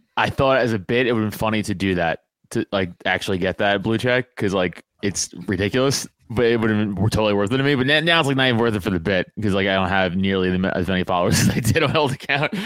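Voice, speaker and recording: A man with an American accent speaks very fast at a fairly low pitch, with ordinary pitch variation. His loudness stays very even, and the sound is dry and close with no echo. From New York, Staten Island. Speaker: podcast guest, social media personality. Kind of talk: casual chat.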